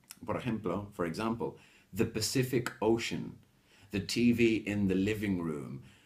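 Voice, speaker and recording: A man's fairly low voice with vocal fry. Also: ordinary pitch variation. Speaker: English teacher. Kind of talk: lesson. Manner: slow.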